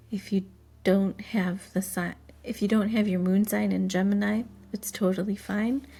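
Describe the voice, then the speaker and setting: A woman's fairly slow, fairly evenly intoned speech over background music. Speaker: tarot reader. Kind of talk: tarot reading. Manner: louder and more active than usual; hesitant, many fillers.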